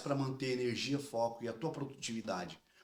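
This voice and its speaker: A man at medium pitch. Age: 40s. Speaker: podcast host. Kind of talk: interview.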